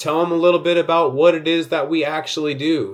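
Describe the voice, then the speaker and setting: A man with an American accent speaks at a moderate pace in a fairly high pitch, an ordinary speaking voice. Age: 30s. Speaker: insurance sales coach. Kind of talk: sales tutorial. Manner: casual, conversational.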